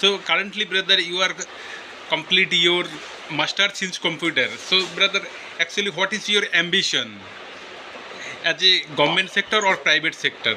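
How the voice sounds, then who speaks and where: A man's high voice at a moderate pace, with fairly even intonation, long, frequent pauses and noticeable background noise. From West Bengal, India. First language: Bengali. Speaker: English learner. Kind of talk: casual chat.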